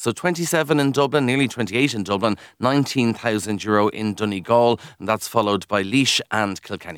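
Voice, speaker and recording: Speaking at a fairly quick pace with hardly any pauses, a man with a Kildare Irish accent uses a medium pitch and ordinary pitch variation in a dry, close recording with no echo. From Ireland, County Kildare. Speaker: radio news presenter. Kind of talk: casual chat.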